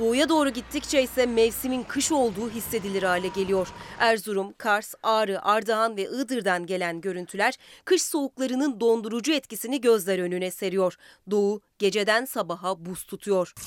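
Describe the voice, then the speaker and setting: Moderately paced, a woman with a normal speaking voice and fairly high pitch speaks with ordinary pitch variation. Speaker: weather reporter. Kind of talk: news reading.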